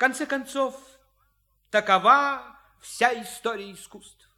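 A man puts on an extremely high-pitched character voice with a bright, sharp tone. He speaks at a fairly slow pace with ordinary pitch variation.

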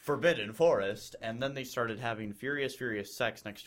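An unforced reading voice rises and falls with lively intonation.

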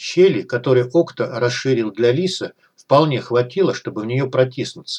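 With a quiet background behind it, the clip has someone reading aloud in a natural voice.

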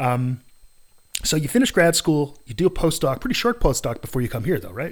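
Swinging very widely in pitch, a man with a fairly high voice talks at a fairly quick pace. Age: 50s. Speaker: podcast host, psychology academic. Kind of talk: casual interview. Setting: home studio, face to face. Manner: animated.

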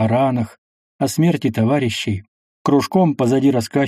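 This is a natural reading voice with ordinary pitch variation, set against a quiet background.

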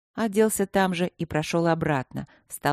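A natural reading voice is heard. Its pitch shifts in an ordinary way.

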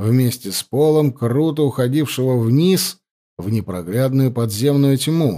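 Plain reading aloud, ordinary pitch variation, and a quiet background.

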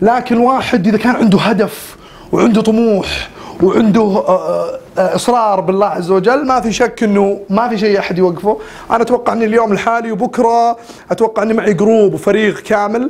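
A man's high voice at a moderate pace amid noticeable background noise. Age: 20s. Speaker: weight-loss vlogger. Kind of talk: casual vlog monologue. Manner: animated. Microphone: cheap camera and mic.

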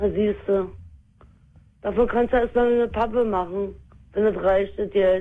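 A woman speaks at a fairly slow pace. Her medium pitch holds fairly even intonation.

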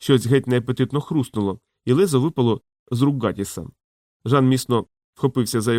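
The voice reads in an unforced way. Nothing stirs behind it.

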